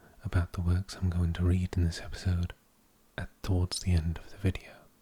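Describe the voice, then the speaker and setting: Soft-spoken and somewhat breathy, a man talks in a very deep, low pitch. His tone is dark and mellow. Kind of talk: casual introduction to listeners.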